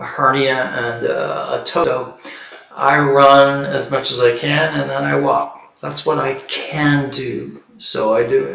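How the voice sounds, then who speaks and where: Echo from the room trails a man's words as he talks very slowly. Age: 60s. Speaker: stress and meditation coach. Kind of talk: livestream talk.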